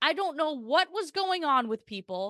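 Raised and projected, a woman's bright, sharp voice with an American accent swings very widely in pitch, recorded dry and close with no echo against a quiet background. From Portland, Oregon. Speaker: TV sports anchor and reporter. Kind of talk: casual chat.

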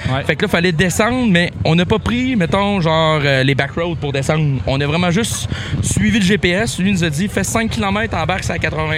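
Amid noticeable background noise and audible room echo, a man with a high pitch speaks at a moderate pace with lively intonation. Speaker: car and motorcycle enthusiast. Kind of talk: casual chat. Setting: makeshift studio at a car show.

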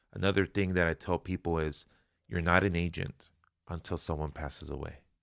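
A man with a Spanish accent talks at a moderate pace in a very deep, low, monotone voice, the sound dry and close with no echo in a very clean recording with a silent background. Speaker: life insurance agent and financial educator. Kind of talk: casual interview conversation. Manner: casual, rambling.

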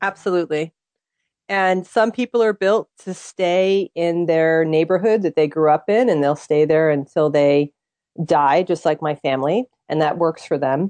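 Against a quiet background, a woman speaks at a moderate pace in a dark, mellow tone with a fairly low pitch and ordinary pitch variation, the sound dry and close with no echo. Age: 40s. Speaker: tarot reader and author. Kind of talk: interview.

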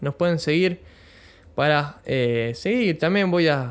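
A man is speaking. His pace is fairly slow. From Argentina, Bahía Blanca (Buenos Aires province). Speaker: podcaster. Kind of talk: casual monologue. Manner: halting, many fillers.

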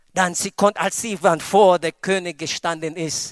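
On a very clean recording with a silent background, a man with a strong non-native accent talks at a fairly slow pace in a high-pitched, animated tone. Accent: strong foreign accent in German. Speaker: pastor. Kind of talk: sermon. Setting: church with congregation. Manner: animated, preacherly, with call-and-response 'Amen' and emphatic exclamations.

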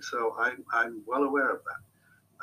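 A man speaks with a southern British accent. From Hampshire, England. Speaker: marketing agency owner. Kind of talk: casual interview.

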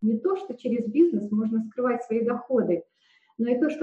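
A woman talks at a high pitch. Her pace is moderate and her intonation lively. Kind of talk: prepared presentation. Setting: video call.

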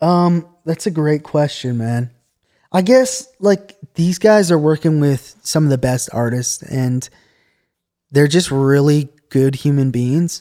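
At a very slow pace, a man with a fairly high pitch and a dark, mellow tone speaks with ordinary pitch variation. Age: 30s. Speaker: music producer and studio intern. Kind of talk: casual chat.

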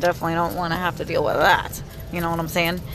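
A woman's animated tone over noticeable background noise. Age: 30s. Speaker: podcaster. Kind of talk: casual chat. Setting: in a car.

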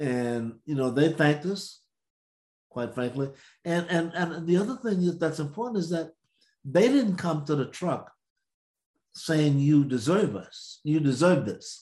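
A fairly slow man with an American accent, a fairly high pitch, a dark, mellow tone, and long, frequent pauses. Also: lively intonation. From US South, Mississippi. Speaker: civil rights veteran and podcast co-host. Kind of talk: storytelling.

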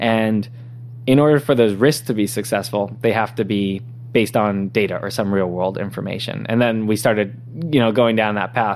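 In an American accent, a man speaks at a medium pitch and a moderate pace. He has a normal speaking voice with fairly even intonation. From Southern California (San Diego). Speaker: tech startup founder and CEO. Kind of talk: interview.

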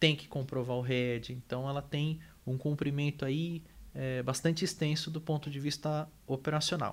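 Recorded very cleanly against a silent background, a man speaks in an ordinary speaking voice at a fairly high pitch with fairly even intonation. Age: 30s. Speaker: energy company manager and engineer. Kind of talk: interview.

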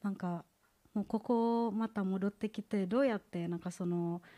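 Speaking at a fairly slow pace with an Indonesian accent, a woman has a medium pitch, ordinary pitch variation and a dark, mellow tone, recorded very cleanly with a silent background and a dry, close sound with no echo. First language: Indonesian (speaking Japanese). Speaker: graduate student, church member giving testimony. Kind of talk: testimony. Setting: church service. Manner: halting.

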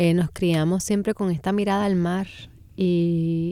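A woman with a dark, mellow tone talks at a fairly slow pace with fairly even intonation. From Puerto Rico, San Juan. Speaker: poet. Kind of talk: radio interview. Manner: halting, many fillers and repeated words.

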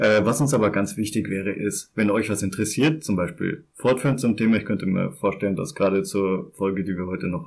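Speaking in a normal speaking voice, a man uses lively intonation at a fairly low pitch. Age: 20s. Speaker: podcast co-host. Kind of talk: casual chat.

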